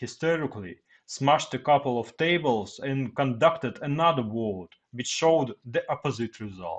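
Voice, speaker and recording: Speaking at a fairly slow pace, a man uses lively intonation. He talks with a Russian accent. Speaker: Russian military man, commentator. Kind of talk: reading aloud prepared text. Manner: halting.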